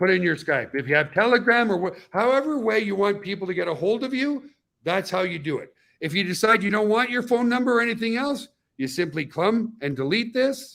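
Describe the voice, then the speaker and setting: Lively intonation marks speech delivered at a fairly quick pace. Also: man, high pitch for a man. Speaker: webinar presenter. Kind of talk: tutorial. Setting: live YouTube webinar. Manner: fast.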